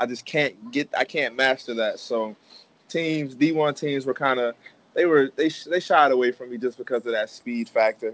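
With an American accent, a man talks at a moderate pace in a plain, everyday voice, his pitch medium and its variation ordinary. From Maryland, US. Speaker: professional football player. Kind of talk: casual interview. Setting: video call.

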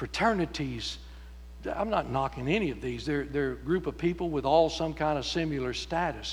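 The speaker has a Texan accent and talks at a moderate pace. Room echo can be heard. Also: man. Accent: Texan Southern US. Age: 70s. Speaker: pastor. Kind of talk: sermon. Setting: church.

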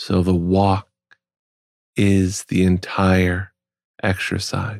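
Very deep and low, a man's soothing voice moves at a very slow pace in monotone, flat intonation, with long, frequent pauses and a dry, close sound with no echo. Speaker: podcast host. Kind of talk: slow spoken monologue.

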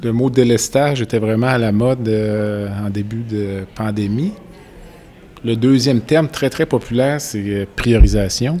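The speech moves at a very slow pace with long, frequent pauses. Pitch variation is ordinary. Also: man. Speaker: podcast host, physician. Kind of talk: interview. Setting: conference venue.

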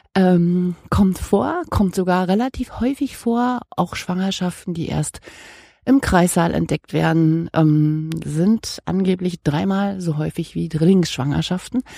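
A woman's fairly low, dark and mellow voice at a very slow pace, with ordinary pitch variation, recorded very cleanly against silence with a dry, close sound and no echo. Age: 50s. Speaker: podcast host. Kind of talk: casual monologue and interview. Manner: chatty, rambling.

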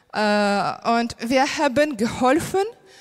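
The speaker is a woman. Her pitch is fairly high. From Ukraine. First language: Ukrainian or Russian (speaking German). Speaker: primary school teacher. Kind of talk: testimony. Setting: church stage. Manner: halting, many fillers.

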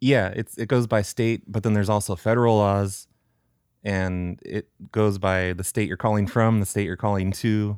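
With fairly even intonation, a man speaks at a moderate pace and fairly low pitch. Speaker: prank caller and show creator. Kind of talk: casual interview. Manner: natural, own voice without put-on characters.

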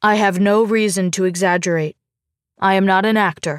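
A raspy, female-sounding put-on character voice at a middle pitch moves at a moderate pace on a very clean recording with a silent background. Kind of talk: grave, serious.

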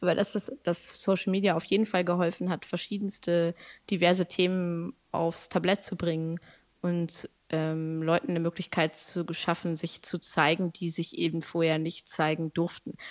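In a normal speaking voice, a woman talks at a fairly low pitch and moderate pace with fairly even intonation, the sound dry and close with no echo on a very clean recording against a silent background. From Germany, Lower Saxony (Braunschweig). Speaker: poet and creative artist. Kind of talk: casual interview. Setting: podcast recording. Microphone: good microphone, sounds great.

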